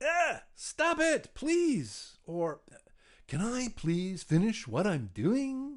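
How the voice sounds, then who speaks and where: Against a quiet background, a woman puts on a character voice, fairly high in pitch, moving very slowly through very wide pitch swings. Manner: irritated, impatient.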